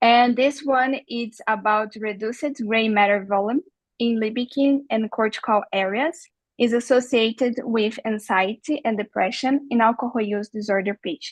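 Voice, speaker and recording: A woman with a Brazilian Portuguese accent, at a moderate pace and with fairly even intonation, in a dry, close sound with no echo. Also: fairly high pitch for a woman. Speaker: neuroscience researcher. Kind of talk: research presentation. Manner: halting.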